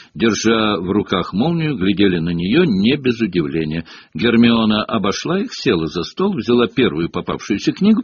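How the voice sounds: Natural reading voice.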